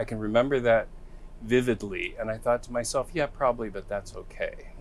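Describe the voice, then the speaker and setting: A man with an American accent at a moderate pace. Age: 60s. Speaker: recovering alcoholic, former behavioral health worker. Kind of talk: interview testimony. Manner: hesitant, many fillers.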